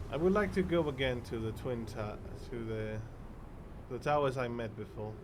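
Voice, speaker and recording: A man speaks at a medium pitch and a moderate pace, with ordinary pitch variation and long, frequent pauses. Audible room echo and noticeable background noise fill the recording. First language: Spanish. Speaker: streamer. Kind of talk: live gameplay commentary. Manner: halting.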